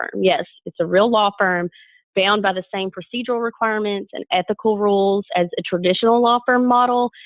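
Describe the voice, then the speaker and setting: A woman with a strong Southern US accent, medium pitch, ordinary pitch variation and a moderate pace. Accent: thick Southern US. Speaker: lawyer. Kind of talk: webinar presentation. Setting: webinar.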